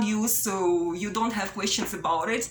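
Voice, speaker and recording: A woman's fairly high-pitched voice at a moderate pace, with audible room echo and noticeable background noise. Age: 30s. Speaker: vlogger. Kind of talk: personal video monologue, unscripted. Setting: self-recorded on camera. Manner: halting, repetitive with fillers.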